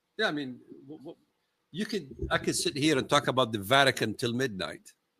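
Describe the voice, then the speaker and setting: With an Arabic accent, a man speaks fairly quickly in a fairly high, bright, sharp voice, his pitch swinging very widely and his loudness swinging a lot. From Palestine. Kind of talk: live-streamed casual discussion. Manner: halting.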